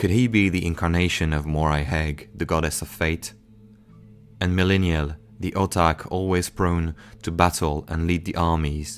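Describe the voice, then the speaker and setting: With music in the background, a man with a very deep, low pitch and a non-native accent speaks at a moderate pace with fairly even intonation. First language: not English. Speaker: lore narrator. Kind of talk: game lore narration.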